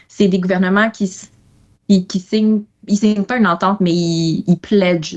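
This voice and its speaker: A woman at a fairly slow pace, with fairly even intonation. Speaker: economics consultant. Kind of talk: podcast interview. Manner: hesitant, many fillers.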